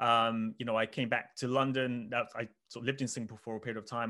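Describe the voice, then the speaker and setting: A man speaks very fast with a southern English accent, at a medium pitch and in a flat monotone. His tone is bright and sharp, and the background is quiet. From England, Oxford. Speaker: finance researcher. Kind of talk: interview.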